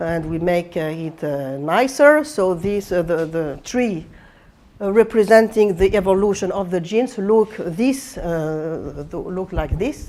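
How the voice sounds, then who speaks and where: A woman with a French accent at medium pitch, lively in intonation and fairly slow in pace. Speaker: computational biology professor. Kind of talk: lecture. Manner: halting, many fillers and restarts.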